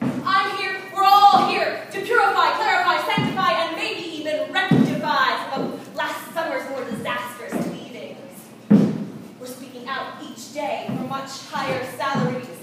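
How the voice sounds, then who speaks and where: Projected and raised, a woman's high voice moves with lively intonation and big swings in loudness at a fairly slow pace. Noticeable background noise runs underneath. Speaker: spoken word performer. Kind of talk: live slam poetry performance. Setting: live venue.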